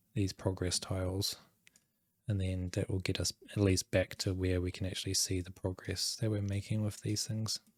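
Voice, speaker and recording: On a very clean recording with a silent background, a man speaks in a very deep, low, somewhat breathy voice with monotone, flat intonation. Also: moderate pace, dry, close sound with no echo. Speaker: game developer streamer. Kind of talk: live coding stream. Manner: casual, thinking aloud.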